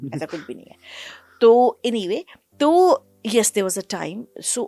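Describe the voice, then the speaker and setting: A woman's fairly high voice at a moderate pace, with very wide pitch swings and a dry, close sound with no echo. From Delhi, India (Bengali family). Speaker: actor. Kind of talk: interview.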